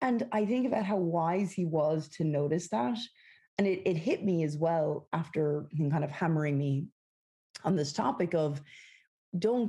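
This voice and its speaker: A woman with an Irish accent speaks fairly slowly at a fairly low pitch, her tone dark, mellow and somewhat breathy. Her intonation is lively and her loudness very even, against a quiet background. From west of Ireland. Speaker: company founder and CEO. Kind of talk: interview.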